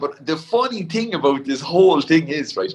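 This man speaks with a Cork accent. His pitch is high and his intonation lively. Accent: Cork Irish. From Ireland, County Cork. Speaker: ultra endurance athlete. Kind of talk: casual interview.

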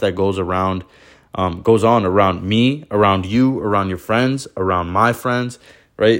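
Fairly even intonation marks this man's fairly low voice. The recording is very clean, with a silent background. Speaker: podcast host. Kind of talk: solo podcast monologue, casual. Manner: calm, slows down and emphasizes when serious; casual, personable, uses slang.

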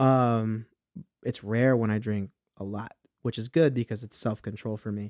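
A man speaks at a moderate pace with fairly even intonation and big swings in loudness. The sound is dry and close, with no echo. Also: medium pitch for a man. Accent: Southern California. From Inland Empire, Southern California. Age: 20s. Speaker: musician and rapper. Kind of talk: casual chat.

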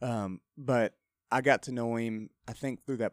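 A man speaks in a West Texas accent with fairly even intonation. The sound is dry and close with no echo, on a very clean recording with a silent background. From Texas, Lubbock. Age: 30s. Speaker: country singer and former rodeo rider. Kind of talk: casual radio interview. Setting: studio.

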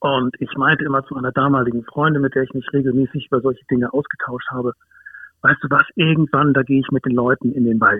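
At medium pitch, a man talks very fast in a flat, monotone way. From northern Germany, Hamburg. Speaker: dog behaviourist and wilderness educator. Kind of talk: interview. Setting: phone call.

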